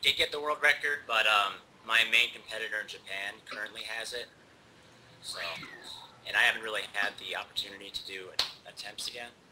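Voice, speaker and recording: A man's speech with long, frequent pauses and noticeable background noise. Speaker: speedrunner. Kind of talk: live commentary. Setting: voice call during livestream. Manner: halting.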